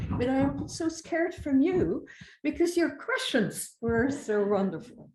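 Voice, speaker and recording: With a non-native accent, someone speaks at a very slow pace with lively intonation. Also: woman. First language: not English. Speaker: conference speaker. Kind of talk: conference keynote.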